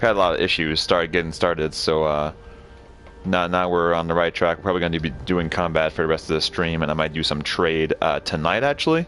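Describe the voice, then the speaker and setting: A man's very deep, low voice at a fairly quick pace, with fairly even intonation and very even loudness, over music in the background. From Canada. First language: French. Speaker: video game streamer. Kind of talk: live gameplay stream chat. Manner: halting, many fillers.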